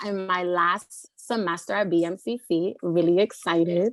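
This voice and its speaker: Speaking with a New York accent, a woman uses medium pitch and ordinary pitch variation. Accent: New York City. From New York City, Lower East Side of Manhattan. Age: 30s. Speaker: community college student. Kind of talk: panel discussion.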